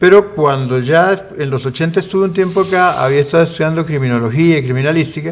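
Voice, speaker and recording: A man races along at a very fast pace with hardly any pauses, his fairly high voice showing ordinary pitch variation. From Costa Rica and Argentina. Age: 60s. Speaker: presidential candidate, lawyer. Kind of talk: interview.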